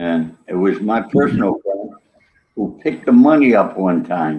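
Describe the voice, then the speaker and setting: A man talks in a New York accent. His pace is fairly slow. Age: 70s. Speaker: author and former gangster. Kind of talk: interview. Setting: live video show.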